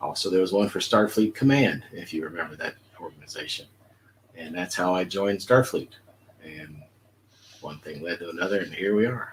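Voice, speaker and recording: Speaking with an American accent, a man with a very deep, low pitch shows ordinary pitch variation, big swings in loudness and long, frequent pauses. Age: 60s. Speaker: retired police officer, fan club member. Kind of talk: interview. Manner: halting with fillers.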